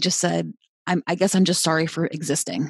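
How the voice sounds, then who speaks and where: The voice has vocal fry and moves at a fairly quick pace, recorded with a dry, close sound and no echo. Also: woman. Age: 40s. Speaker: jiu-jitsu instructor and gym owner. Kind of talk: podcast interview.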